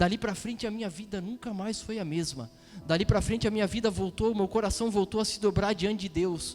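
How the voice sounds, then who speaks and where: Over music in the background, a man talks at a fairly quick pace with a high pitch and ordinary pitch variation. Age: 30s. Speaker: preacher. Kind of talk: sermon.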